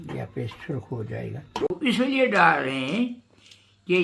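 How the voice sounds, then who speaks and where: Bright and sharp in tone, a man's high voice moves through very wide pitch swings. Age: 80s+. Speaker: home cook. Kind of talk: casual cooking talk. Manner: humorous, chatty.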